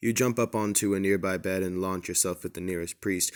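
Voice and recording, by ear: A natural voice reading aloud, the intonation fairly even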